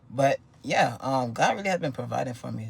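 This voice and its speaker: This man talks at a fairly quick pace. Vocal fry runs through his voice. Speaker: vlogger. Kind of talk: casual monologue. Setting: home recording with wife nearby. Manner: fast.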